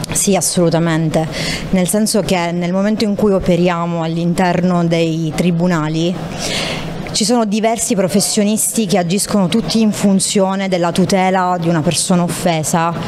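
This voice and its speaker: Over noticeable background noise, a woman with a fairly low pitch speaks at a moderate pace, with fairly even intonation and very even loudness. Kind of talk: interview answer. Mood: calm, earnest. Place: hall. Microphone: handheld.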